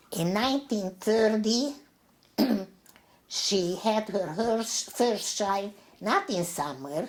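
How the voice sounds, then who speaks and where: Noticeable background noise sits behind a woman speaking at a very slow pace. Her intonation is lively, broken by long, frequent pauses. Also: fairly high pitch for a woman. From Transylvania, Romania. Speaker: Holocaust survivor. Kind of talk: interview answer.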